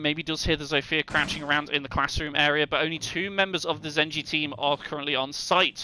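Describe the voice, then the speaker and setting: Here a man speaks in a fairly high pitch with a bright, sharp tone. His intonation is fairly even. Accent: British. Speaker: esports caster. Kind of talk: live commentary. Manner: fast, flowing play-by-play.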